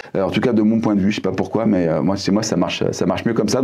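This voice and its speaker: Amid noticeable background noise and audible room echo, a man talks at a very fast pace with a fairly low pitch. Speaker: YouTube marketing trainer. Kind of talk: tutorial. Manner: hesitant, many fillers.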